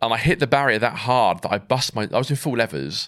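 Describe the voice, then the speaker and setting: A man with a southern English accent, lively intonation and a fairly quick pace, in a very clean recording with a silent background. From southern England (Swindon, Wiltshire). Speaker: military veteran, amputee. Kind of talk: personal testimony in an interview.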